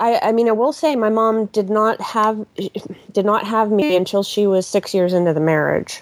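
Here is an ordinary speaking voice with ordinary pitch variation, a moderate pace and very even loudness. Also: woman, fairly high pitch for a woman. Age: 40s. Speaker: caller. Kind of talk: casual chat.

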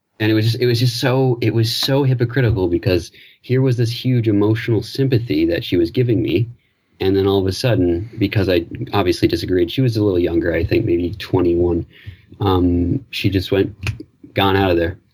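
A man's somewhat breathy voice, fairly low in pitch, with ordinary pitch variation and very even loudness. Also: fairly quick pace. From Newfoundland, Canada. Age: 20s. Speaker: caller, theatre artist. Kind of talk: call-in conversation. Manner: halting.

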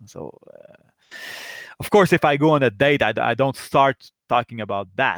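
In a very clean recording with a silent background and a dry, close sound with no echo, a man speaks at a moderate pace and medium pitch with vocal fry. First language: not English. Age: 40s. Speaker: caller. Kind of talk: personal advice call. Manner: halting.

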